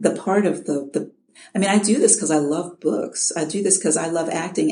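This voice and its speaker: Somewhat breathy and dark, mellow in tone, a woman speaks at a moderate pace with a fairly low pitch and ordinary pitch variation. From Chicago, US Midwest. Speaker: audiobook narrator. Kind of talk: interview. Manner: halting, repeats words.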